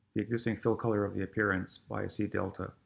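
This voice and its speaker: Mumbling at a very fast pace, a man speaks in a fairly low, monotone voice with flat intonation. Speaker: programming teacher. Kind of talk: tutorial.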